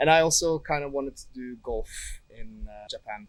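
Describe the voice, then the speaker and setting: A man with a Norwegian accent talks at a moderate pace. His pitch is fairly high, with ordinary variation. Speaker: tourist. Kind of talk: street interview.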